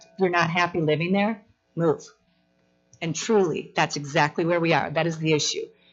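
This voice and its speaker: A woman's fairly low voice, animated in tone, with ordinary pitch variation at a moderate pace, music playing in the background. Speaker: resident speaking at public hearing. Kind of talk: public comment. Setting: council chamber public meeting.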